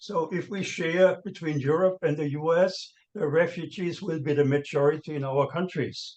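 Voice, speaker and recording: With a non-native accent, a man speaks at a moderate pace in a fairly high voice, with fairly even intonation and hardly any pauses. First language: not English. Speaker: panel speaker on money laundering. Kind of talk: seminar panel talk. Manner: halting, many fillers and restarts.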